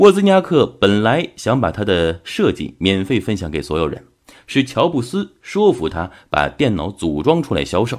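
At a moderate pace, the voice makes very wide pitch swings on a very clean recording with a silent background. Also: man, fairly low pitch for a man. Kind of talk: audiobook-style book summary narration. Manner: steady, measured, explanatory; formal, narrative storytelling tone.

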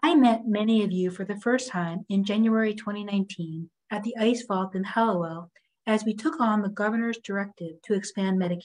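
A woman's somewhat breathy voice with fairly even intonation against a quiet background. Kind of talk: prepared remarks to stakeholders. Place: office. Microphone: video call.

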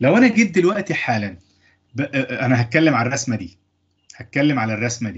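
A man speaks in an Egyptian accent at a moderate pace, his voice somewhat breathy. His pitch swings very widely, and he leaves long, frequent pauses. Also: quiet background. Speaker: engineering lecturer. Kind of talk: lecture. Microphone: video call.

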